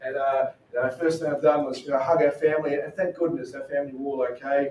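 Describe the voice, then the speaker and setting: The speech comes at a very fast pace. It carries a strong Australian accent. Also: man. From Australia, Queensland. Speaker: missionary. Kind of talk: talk to a church group. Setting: church. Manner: casual.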